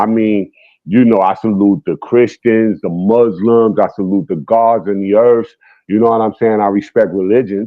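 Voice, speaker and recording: A man talks at a moderate pace with a New York accent. His pitch is fairly low. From New York City, the Bronx. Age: 50s. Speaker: guest on a hip hop talk stream. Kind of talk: casual debate. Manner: animated.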